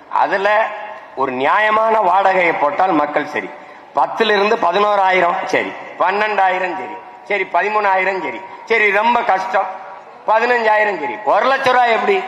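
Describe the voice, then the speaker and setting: A man with a high-pitched voice sounds angry and passionate, his pitch varying in an ordinary way. Background noise is noticeable throughout. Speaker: politician, party leader speaking at a traders' association event. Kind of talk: fiery political stage speech. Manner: loud, angry, passionate, rhetorical.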